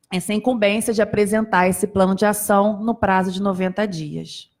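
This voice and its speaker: A moderate pace with monotone, flat intonation. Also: woman. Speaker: psychologist and accessibility committee member. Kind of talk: panel talk. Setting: auditorium with audience.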